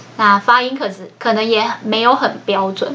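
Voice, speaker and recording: A woman's fairly high voice comes through with noticeable background noise behind it. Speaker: podcast host sharing book notes. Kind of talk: solo scripted book-notes podcast. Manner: slowed down, following a script.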